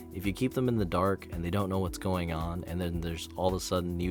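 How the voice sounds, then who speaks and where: Backed by music, a man with a very deep, low pitch and ordinary pitch variation talks at a fairly quick pace. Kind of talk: opinion commentary on a video game. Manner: rambling, casual.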